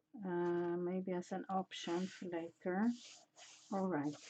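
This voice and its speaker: Very slowly, a woman with a non-native accent speaks at a medium pitch. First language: not English. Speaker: mixed media artist. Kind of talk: casual art livestream narration. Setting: home art studio. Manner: halting, many fillers.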